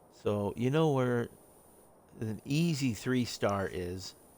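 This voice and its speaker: This man talks very slowly at a medium pitch, his loudness swinging widely. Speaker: gaming streamer. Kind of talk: live gameplay commentary. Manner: casual, hesitant with fillers.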